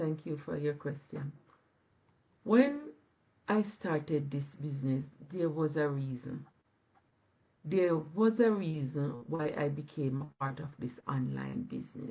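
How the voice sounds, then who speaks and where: A woman speaks fairly slowly in a very deep, low voice, dark and mellow in tone and somewhat breathy. Her intonation is lively, with long, frequent pauses. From Jamaica. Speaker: online business owner. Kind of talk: live stream interview. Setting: live video stream.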